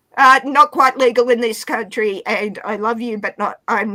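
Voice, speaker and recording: A woman with an Australian accent, at a moderate pace, with ordinary pitch variation. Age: 40s. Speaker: livestream guest. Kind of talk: casual chat. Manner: animated.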